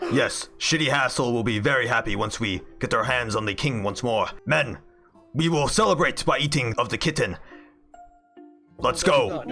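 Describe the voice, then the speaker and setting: A man's put-on character voice at medium pitch, with lively intonation and faint music in the background. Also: moderate pace. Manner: pompous, theatrical.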